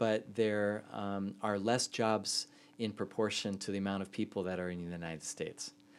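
With an American accent, a man talks in a normal speaking voice, his pitch fairly low. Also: very clean recording, silent background. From US Midwest (Indiana). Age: 40s. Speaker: professor of youth ministry. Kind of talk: interview.

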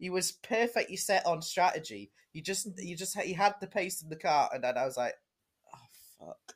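Pitched high, a man speaks with a northern English accent and big swings in loudness. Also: ordinary pitch variation, moderate pace. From northern England. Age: young. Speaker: motorsport podcast co-host. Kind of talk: casual chat. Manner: animated.

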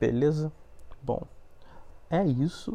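A man's dark, mellow, somewhat breathy voice with fairly even intonation. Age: 20s. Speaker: podcast host, biology student. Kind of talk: casual monologue.

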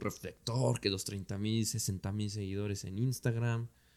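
Delivered at a fairly slow pace, a normal speaking voice comes through on a very clean recording with a silent background. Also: man. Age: 20s. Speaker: telescope operator and science communicator. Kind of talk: casual interview.

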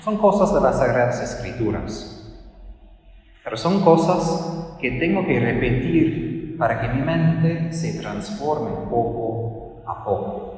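Over noticeable background noise, a man speaks at a very slow pace. His pitch is fairly high and his intonation lively. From Texas. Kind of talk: lenten talk / spiritual conference.

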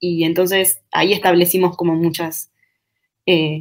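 Her voice is an ordinary speaking voice, as a woman speaks at a fairly low pitch with fairly even intonation. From Uruguay, Durazno. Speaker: feminist researcher and university lecturer. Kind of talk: interview.

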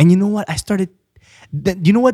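A man talks with ordinary variation in pitch. The recording is dry and close, with no echo. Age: 20s. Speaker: preacher and business owner. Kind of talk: casual chat. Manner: halting.

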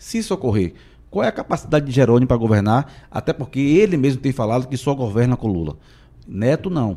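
In a very clean recording with a silent background, a man of medium pitch speaks with a dark, mellow tone, lively intonation and a very fast pace. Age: 40s. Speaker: city councillor. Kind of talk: interview.

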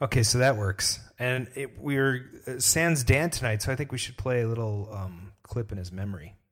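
A somewhat breathy man at medium pitch, speaking with hardly any pauses. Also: ordinary pitch variation, moderate pace. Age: 40s. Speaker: podcast host. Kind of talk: casual chat. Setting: livestream.

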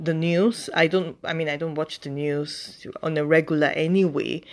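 An ordinary speaking voice at a fairly slow pace, with ordinary pitch variation, on a very clean recording with a silent background. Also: woman. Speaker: faith podcast host. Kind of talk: devotional talk, monologue. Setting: podcast. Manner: warm, encouraging, conversational.

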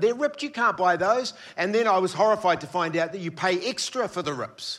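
A man with an Australian accent talks at a very fast pace. His intonation is lively, and the recording is very clean with a silent background. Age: 50s. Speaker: preacher, former youth pastor. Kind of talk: sermon.

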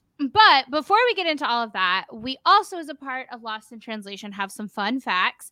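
With an American accent, a woman speaks in a high, bright, sharp, raised and projected voice at a moderate pace, her tone animated, her pitch swinging very widely and her loudness shifting a lot. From United States. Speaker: podcast co-host. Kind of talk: casual interview chat. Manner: animated, laughs often.

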